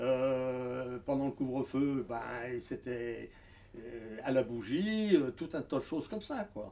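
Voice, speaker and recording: A man speaks at a very slow pace with a medium pitch. His loudness swings widely. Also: lively intonation. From France, Lyon area (Craponne). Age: 80s+. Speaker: elderly local witness. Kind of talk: oral history testimony. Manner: halting, many hesitations.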